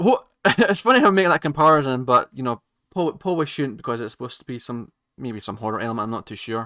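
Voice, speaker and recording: A man at medium pitch and a very fast pace, lively intonation and big swings in loudness, in a very clean recording with a silent background and a dry, close sound with no echo. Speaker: YouTube reaction creator. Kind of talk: casual reaction commentary. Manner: stuttering, hesitant.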